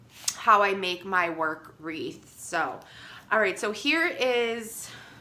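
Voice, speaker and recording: With an American accent and a medium pitch, a woman speaks at a very slow pace with very wide pitch swings, and audible room echo surrounds her. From Chicago. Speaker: crafter. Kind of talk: tutorial. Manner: casual, hesitant with fillers.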